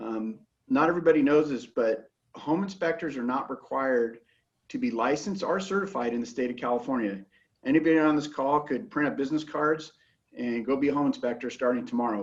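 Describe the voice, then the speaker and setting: Speaking at a fairly quick pace, a man uses lively intonation and a fairly high pitch. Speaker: home inspection company account manager. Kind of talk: sales presentation. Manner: fast.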